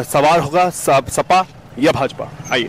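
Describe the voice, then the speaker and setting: A man speaks with light background noise. The sound is dry with no echo. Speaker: news reporter. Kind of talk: news piece to camera. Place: street. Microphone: handheld.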